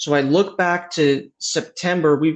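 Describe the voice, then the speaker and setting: A man speaks with a Michigan accent and fairly even intonation. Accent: US Midwestern (Michigan). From Michigan, US Midwest. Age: 20s. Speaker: company founder. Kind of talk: interview. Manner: halting, repeats words.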